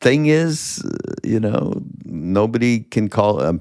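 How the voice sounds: A man speaks at a slow pace and medium pitch, with big pitch swings, on a very clean recording with a silent background.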